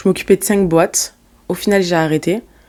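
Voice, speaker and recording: Here a woman speaks with a slight southern French accent. Her pitch is fairly low and her intonation fairly even. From southern France (Marseille, Montpellier, Nîmes). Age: 20s. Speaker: entrepreneur, company CEO. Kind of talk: podcast interview, casual chat. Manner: casual, hesitant with fillers and restarts.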